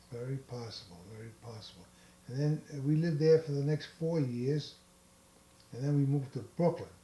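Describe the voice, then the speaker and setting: In a New York accent, a man speaks at a fairly high pitch with a dark, mellow, somewhat breathy tone, big swings in loudness and ordinary pitch variation. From New York City. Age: 80s+. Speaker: grandfather interviewed by family. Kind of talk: oral history interview.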